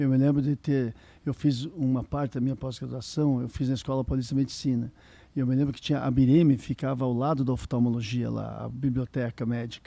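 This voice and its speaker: Monotone, flat intonation marks a man's medium-pitched voice with a dark, mellow tone. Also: fairly quick pace. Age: 60s. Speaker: ophthalmologist and professor. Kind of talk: interview.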